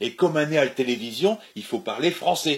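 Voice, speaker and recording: A fairly high-pitched man at a moderate pace, with very wide pitch swings. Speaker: comedian. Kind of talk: comic sketch dialogue.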